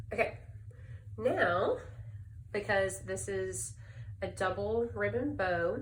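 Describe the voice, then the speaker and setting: In a Southern US accent, a woman speaks at a very slow pace with long, frequent pauses. Audible room echo surrounds her voice. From US South, Birmingham, Alabama. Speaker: crafter, speech-language pathologist. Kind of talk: tutorial. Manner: casual, hesitant with fillers.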